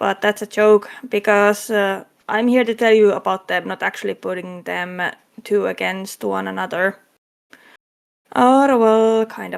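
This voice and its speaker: A woman speaks at a fairly slow pace with a strong non-native accent. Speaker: convention panel host. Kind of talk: convention panel presentation. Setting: online convention panel streamed as a VTuber. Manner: halting, with fillers.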